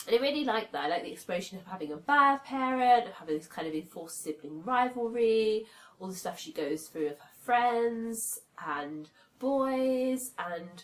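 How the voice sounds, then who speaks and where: With a British accent, a woman speaks at a fairly high pitch, her voice making very wide pitch swings. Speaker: book reviewer. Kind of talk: casual talk to camera.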